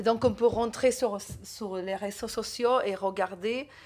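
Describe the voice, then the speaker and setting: In a very clean recording with a silent background, a woman with an Argentine accent speaks at a fairly slow pace. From Argentina. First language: Spanish (speaking French). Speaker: novelist. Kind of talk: literary talk. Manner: animated.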